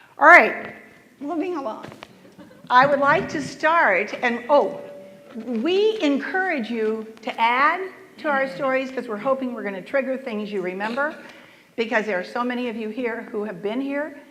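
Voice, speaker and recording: Over noticeable background noise and audible room echo, a woman with a high pitch speaks at a moderate pace, her intonation lively and her loudness swinging widely. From US South. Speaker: panel moderator. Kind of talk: panel moderation.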